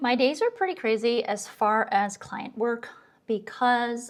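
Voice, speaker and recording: Speaking at a fairly slow pace, a woman has a normal speaking voice with ordinary pitch variation. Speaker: graphic designer vlogger. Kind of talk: casual vlog talk. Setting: home office.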